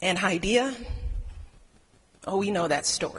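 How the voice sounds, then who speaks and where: With a Chicago accent, a woman speaks at a fairly slow pace with ordinary pitch variation. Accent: Chicago, American. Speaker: First Lady. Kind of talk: public speech.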